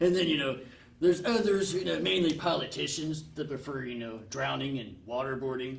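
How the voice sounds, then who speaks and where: Using a put-on character voice at medium pitch, a man talks at a fairly quick pace over light background noise. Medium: comedy sketch. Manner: rambling, grumbling.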